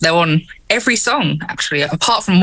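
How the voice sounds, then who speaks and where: Over noticeable background noise, a woman with a strong English accent talks at a fairly quick pace and a fairly low pitch. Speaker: keyboardist and singer in a metal band. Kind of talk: casual interview. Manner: energetic.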